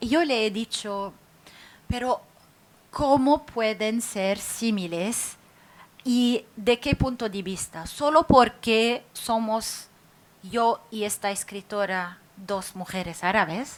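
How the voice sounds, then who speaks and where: In a non-native accent, a woman speaks at a very slow pace with ordinary pitch variation. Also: fairly high pitch for a woman. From Lebanon. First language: Arabic (speaking Spanish). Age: 40s. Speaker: writer. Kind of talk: public talk. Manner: halting, many fillers.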